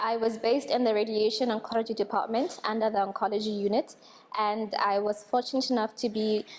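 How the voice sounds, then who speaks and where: A woman speaks at a fairly quick pace with a fairly high pitch. Her loudness stays very even and her intonation fairly even. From Botswana. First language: Tswana. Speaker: radiation technician trainee. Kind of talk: testimonial.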